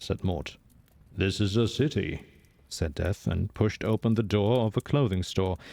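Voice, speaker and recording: Heard in a very clean recording with a silent background, a man talks at a moderate pace. His fairly low voice holds very even loudness and ordinary pitch variation. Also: dry, close sound with no echo. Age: young. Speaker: streamer reading a book aloud. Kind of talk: reading aloud. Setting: live stream.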